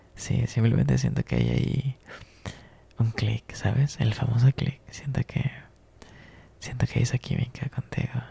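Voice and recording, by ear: A man's put-on character voice, whispering with vocal fry and a husky, rough edge at a fairly slow pace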